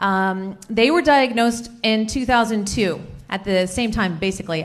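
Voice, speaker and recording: The woman's delivery is very slow. Her pitch rises and falls in an ordinary way. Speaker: presenter. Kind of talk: conference presentation. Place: hall. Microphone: handheld.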